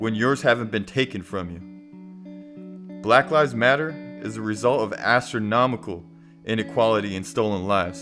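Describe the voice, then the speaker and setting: Fairly low-pitched male voice at a moderate pace, ordinary pitch variation, music in the background. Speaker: spoken word poet. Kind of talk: spoken word poetry over music. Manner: impassioned, confrontational.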